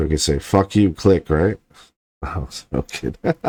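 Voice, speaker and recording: A man speaks at a moderate pace in a dark, mellow tone with vocal fry. The sound is dry and close, with no echo. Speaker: online marketing tutor. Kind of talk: screen-share tutorial. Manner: casual.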